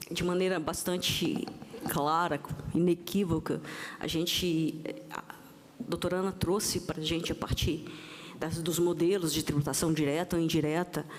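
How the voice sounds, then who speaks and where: Amid noticeable background noise, a woman with a fairly low pitch speaks in a monotone, flat intonation with long, frequent pauses. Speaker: panel moderator, tax official. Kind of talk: panel discussion moderation. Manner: halting, with false starts.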